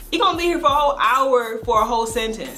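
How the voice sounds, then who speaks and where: Music plays behind a woman who speaks with lively intonation. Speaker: vlogger. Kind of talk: casual talk to camera. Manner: sassy, humorous.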